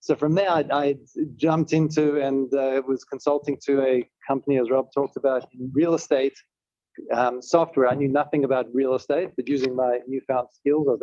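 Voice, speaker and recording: A man with a South African accent, a medium pitch and a dark, mellow tone, at a fairly quick pace with fairly even intonation, in a dry, close sound with no echo. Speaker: tech company executive. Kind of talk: panel talk.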